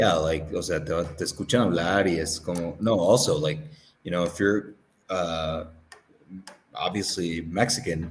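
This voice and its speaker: With a Southern California accent, a man with a very deep, low pitch speaks at a moderate pace in fairly even intonation, leaving long, frequent pauses. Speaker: interview guest, English teacher. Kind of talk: casual interview chat. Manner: casual, filler-heavy.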